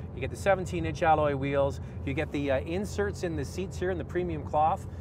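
Recorded dry with no echo but with noticeable background noise, a man speaks at a fairly quick pace with very wide pitch swings. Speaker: car reviewer host. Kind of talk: commentary. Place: car.

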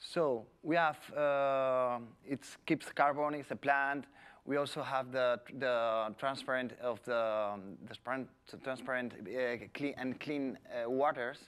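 At a very slow pace, a man of medium pitch speaks in a Spanish accent with fairly even intonation, on a very clean recording with a silent background. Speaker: environmental official. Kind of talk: presentation. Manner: halting.

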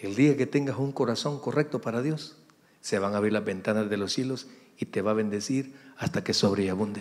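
A man with a Salvadoran accent talks at a fairly quick pace. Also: ordinary pitch variation. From El Salvador, San Miguel; El Salvador. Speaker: pastor. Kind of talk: sermon. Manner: animated. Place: church. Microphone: handheld.

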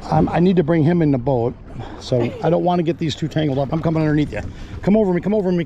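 A man talks very fast, his pitch varying in an ordinary way, with light background noise behind him. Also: dry sound with no echo. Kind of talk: casual instructions and commentary while fishing. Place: boat. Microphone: phone near.

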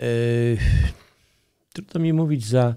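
There is a quiet background behind this man. He speaks in a dark, mellow tone at a medium pitch, with ordinary pitch variation. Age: old. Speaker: hunter; interview guest. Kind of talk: interview. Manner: halting. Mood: calm, earnest. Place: studio. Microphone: studio mic.

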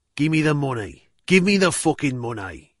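In a put-on character voice, a man growls at a fairly high pitch, using lively intonation at a moderate pace. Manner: snarling, aggressive.

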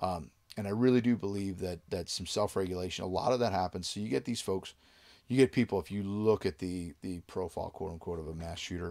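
A man speaks at a low pitch and a fairly quick pace, with ordinary pitch variation and a slightly mellow tone. The recording is very clean, with a silent background.

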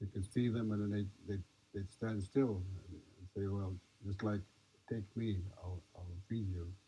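This man has a fairly low, somewhat breathy voice with a dark, mellow tone and fairly even intonation. He goes at a fairly slow pace, with long, frequent pauses. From Nez Perce. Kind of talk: talk to an audience. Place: tent.

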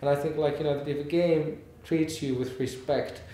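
Man at fairly high pitch, moderate pace, monotone and flat intonation, audible room echo. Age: 40s. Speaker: game company founder, education expert. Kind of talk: interview answers. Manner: halting, many fillers. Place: hall.

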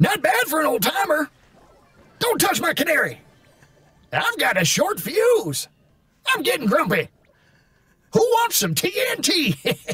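A man at an extremely high pitch, broken by long, frequent pauses. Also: fairly slow pace. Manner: grumpy, cranky.

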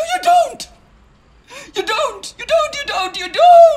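Shouting in a put-on character voice, a man speaks at an extremely high pitch and a fairly slow pace. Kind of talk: dramatic film dialogue. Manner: tearful, desperate, shouting. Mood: upset, accusing, near tears.

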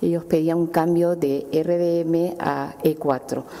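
The speaker is a woman with a Peruvian accent. Her voice is fairly low, with fairly even intonation. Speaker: city councillor. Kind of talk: formal council report. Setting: council chamber. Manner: halting. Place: hall. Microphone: podium.

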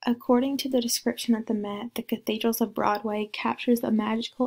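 Fairly high in pitch, a woman speaks at a moderate pace with a dry, close sound and no echo. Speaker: student presenting a class project. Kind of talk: class presentation.

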